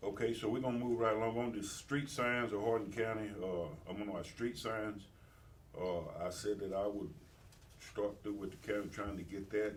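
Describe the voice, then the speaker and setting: In an American accent, a man speaks with a fairly low pitch and fairly even intonation, amid audible room echo and noticeable background noise. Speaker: mayor chairing city meeting. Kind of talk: city council meeting report. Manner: fast; halting, many fillers.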